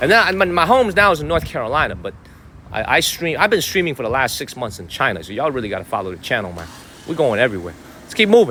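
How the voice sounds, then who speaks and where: Very fast and animated, a man speaks at a fairly high pitch with very wide pitch swings against noticeable background noise. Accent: Chicago. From Chicago, US Midwest. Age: 30s. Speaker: live streamer. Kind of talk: live stream chat.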